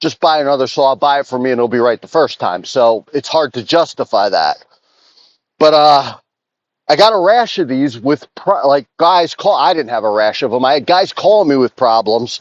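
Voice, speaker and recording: A man at a moderate pace, with lively intonation and a dry, close sound free of echo. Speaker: chainsaw dealer and repairer. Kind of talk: casual talk to camera while working. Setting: outdoors in the woods.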